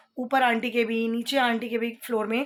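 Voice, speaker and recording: With a fairly high pitch, a woman talks at a moderate pace. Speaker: home vlogger. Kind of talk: casual vlog talk. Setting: at home.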